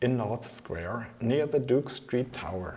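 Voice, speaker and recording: A man speaks with a German accent at a medium pitch. His pace is fairly slow and his intonation lively. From Germany. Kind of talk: reading of a standard accent text.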